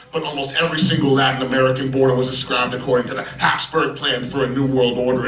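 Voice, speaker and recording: A man's medium-pitched voice at a very fast pace, over noticeable background noise. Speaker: slam poet. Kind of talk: slam poetry performance.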